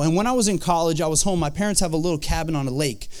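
A man with an American accent, his pitch high and his tone animated, with lively intonation throughout. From Vermont, US. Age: 30s. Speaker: pastor. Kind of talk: sermon. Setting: church.

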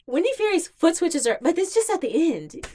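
A woman with an American accent and a dark, mellow tone. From Virginia, US (Hampton area). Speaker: rhythm game community organizer. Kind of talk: casual podcast chat.

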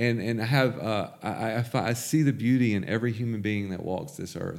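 A man with a Mississippi accent and ordinary pitch variation. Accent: Southern US (Mississippi). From US South, Jackson, Mississippi. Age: 20s. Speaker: recovering addict sharing his story. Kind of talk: testimony.

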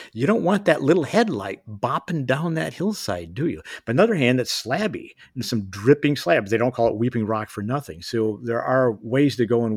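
In a plain, everyday voice with an American accent, a man of medium pitch speaks with lively intonation on a very clean recording with a silent background. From US Midwest (Kalamazoo, Michigan). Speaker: ultrarunner and outdoor industry veteran. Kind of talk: casual chat.

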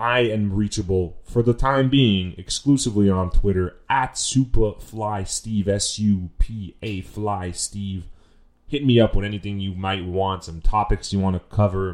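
Against a quiet background, a normal speaking voice moves at a fairly slow pace. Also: man, fairly low pitch for a man. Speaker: podcast host. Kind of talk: casual solo podcast monologue with swearing. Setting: home recording, audio only, no camera. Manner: casual, chatty, self-aware.

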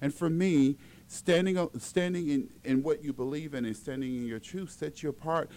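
This man has an ordinary speaking voice with a fairly high pitch and an American accent. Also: ordinary pitch variation, moderate pace. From Las Vegas, Nevada. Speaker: celebrity stylist. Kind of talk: interview, casual chat.

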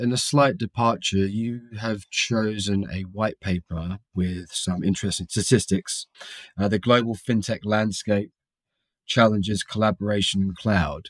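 A man with a plain, everyday voice speaks at a fairly low pitch and a fairly slow pace, with ordinary pitch variation. The very clean recording has a silent background and dry, close sound with no echo. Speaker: podcast host and reporter. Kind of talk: interview, conversational.

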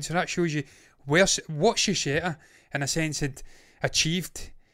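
A man's fairly high voice, an ordinary speaking voice, at a fairly quick pace with fairly even intonation. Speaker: TV review host. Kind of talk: casual review chat. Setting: online show, late evening.

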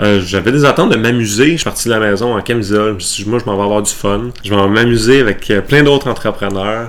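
A man with a Quebec accent speaks fairly quickly in a fairly low voice with ordinary pitch variation, against noticeable background noise. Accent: Québécois French. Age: 30s. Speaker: waste management consultant. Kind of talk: interview.

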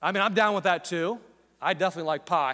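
A man talks at a very fast pace in a raised, projected voice. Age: 40s. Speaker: pastor. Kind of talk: sermon. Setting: church auditorium with live audience.

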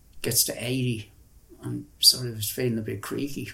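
Someone with a Dublin accent talks at a moderate pace against noticeable background noise. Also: man. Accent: Dublin Irish. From Dublin, Ireland (Ringsend). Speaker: artist and musician. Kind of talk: interview, life story. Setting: in his flat.

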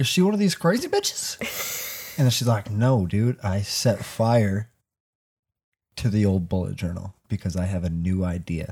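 A man with a normal speaking voice, fairly low in pitch, at a moderate pace. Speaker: podcast host. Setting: basement home recording. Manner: casual, loud, swears often.

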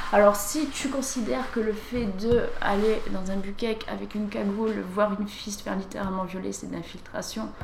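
Amid noticeable background noise and audible room echo, a woman of medium pitch talks at a fairly quick pace with hardly any pauses and ordinary pitch variation. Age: 20s. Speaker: former adult film actress. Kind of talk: interview, personal testimony.

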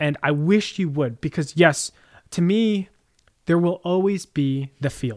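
On a very clean recording with a silent background and a dry, close sound with no echo, a high-pitched man with an American accent speaks with ordinary pitch variation. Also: fairly slow pace. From New Jersey, Jersey Shore. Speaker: podcast co-host. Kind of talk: casual chat.

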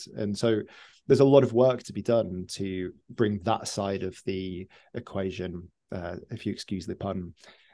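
In a British accent, a man speaks at a fairly slow pace with a fairly low voice and a dark, mellow tone. His pitch varies in an ordinary way, his loudness swings widely, and the background is quiet. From United Kingdom. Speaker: music professor and musician. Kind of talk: interview answers. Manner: hesitant, thoughtful, many fillers.

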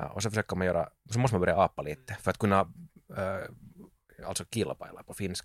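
A man's fairly low voice, very fast yet full of long, frequent pauses, with ordinary pitch variation and a dry, close sound with no echo. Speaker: musician and sound engineer. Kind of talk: casual chat.

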